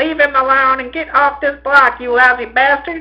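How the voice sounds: Shouting in a put-on character voice, a man pitches extremely high with a bright, sharp tone and fairly even intonation. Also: moderate pace.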